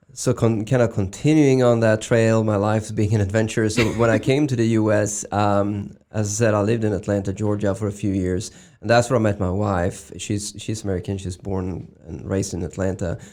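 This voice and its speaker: A voice with a dark, mellow tone and a Swedish accent moves at a fairly quick pace with hardly any pauses and fairly even intonation, on a very clean recording with a silent background. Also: man, fairly low pitch for a man. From Sweden. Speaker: medical device executive. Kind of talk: interview. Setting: studio. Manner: halting, many fillers.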